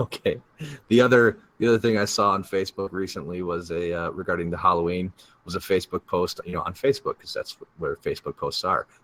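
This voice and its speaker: Very fast speech from a man, dry and close, with no echo. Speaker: podcast co-host. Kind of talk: casual chat.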